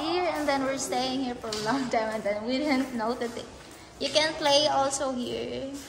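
Against noticeable background noise, a woman talks at a moderate pace in a high pitch with ordinary pitch variation. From Philippines. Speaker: vlogger's partner. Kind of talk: casual vlog chat. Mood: pleasantly surprised. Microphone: phone near.

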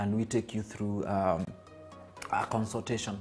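A man talks at a moderate pace with faint music in the background. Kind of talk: interview answer. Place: office.

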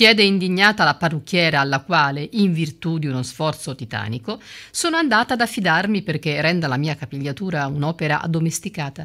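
Delivered at a fairly quick pace with few pauses, this voice has a fairly bright tone and lively intonation on a very clean recording with a silent background. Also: woman, low pitch for a woman.

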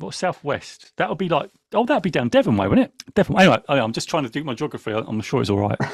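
On a very clean recording with a silent background, the speaker talks in an English accent at a very fast pace with hardly any pauses. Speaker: podcast host. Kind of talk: casual chat. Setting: livestream. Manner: animated.

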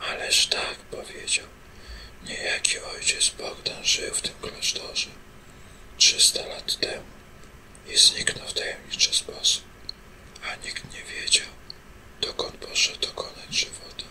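A very slow whisper broken by long, frequent pauses, noticeable background noise underneath. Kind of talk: read story; bedtime ASMR story reading. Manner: whispered.

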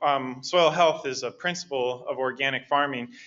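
With a plain, everyday voice, a man talks at a moderate pace, his pitch fairly high and his intonation fairly even. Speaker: organic education specialist. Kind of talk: lecture. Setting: stage with audience.

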